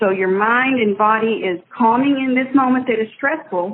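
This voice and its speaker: This woman's high-pitched voice carries lively intonation as she talks fairly slowly. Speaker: yoga instructor. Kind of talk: interview.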